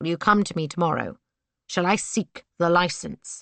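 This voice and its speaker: A woman puts on a character voice, growling in a fairly low pitch. She keeps a moderate pace and fairly even intonation. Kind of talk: period romance reading. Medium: read story. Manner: superior, smoothly insinuating.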